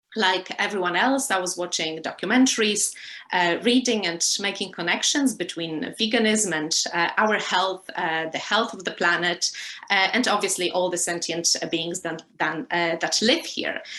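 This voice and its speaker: This woman has a Polish accent and a medium pitch. She talks at a moderate pace with ordinary pitch variation. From Poland. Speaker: lecturer and animal rights activist. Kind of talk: interview. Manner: hesitant, many fillers.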